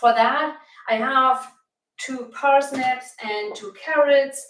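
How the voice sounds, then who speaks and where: A woman with a German accent speaks at a high pitch and a very slow pace. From Germany (Bavaria, Franconia). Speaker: cooking channel host, plant-based health coach. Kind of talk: live cooking demonstration. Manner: casual, somewhat halting.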